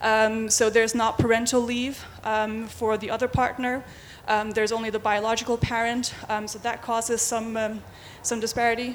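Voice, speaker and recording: Speaking at a moderate pace with a Faroese accent, a woman keeps her fairly high pitch in a monotone, flat intonation. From Faroe Islands. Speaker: LGBT rights activist. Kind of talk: panel presentation. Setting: stage with audience.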